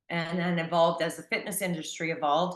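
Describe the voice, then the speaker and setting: A woman speaks at a fairly quick pace with an American accent. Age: 60s. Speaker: personal trainer and long-distance hiker. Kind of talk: interview.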